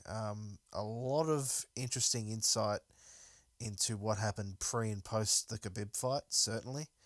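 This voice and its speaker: Recorded very cleanly against a silent background, a man with an Australian accent talks at a medium pitch with fairly even intonation, the sound dry and close with no echo. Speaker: MMA podcast host. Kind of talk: solo casual commentary. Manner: halting with many fillers.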